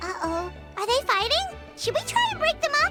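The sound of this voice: A woman's cartoonish character voice, extremely high in pitch and bright, sharp in tone, with big pitch swings, a moderate pace and faint music in the background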